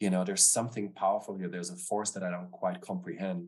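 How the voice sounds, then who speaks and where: Against a quiet background, a man with a German accent speaks at a very deep, low pitch and fairly even intonation. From Germany, Stuttgart. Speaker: business founder and author. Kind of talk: interview. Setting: remote call.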